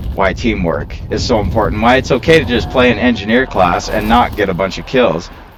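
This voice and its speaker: A man's fairly low voice at a fairly quick pace, lively intonation, hardly any pauses, and noticeable background noise. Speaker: gaming video creator. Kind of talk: unedited gameplay commentary. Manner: candid, casual.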